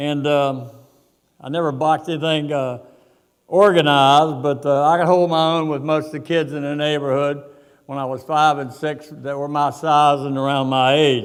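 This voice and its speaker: Speaking with an Appalachian accent, a man talks at a moderate pace in a monotone, flat intonation with a fairly high pitch, and the room echo is audible. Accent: Appalachian Southern US. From US South (West Virginia coal country). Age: 80s+. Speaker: boxing veteran. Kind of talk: keynote speech. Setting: stage with audience. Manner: halting.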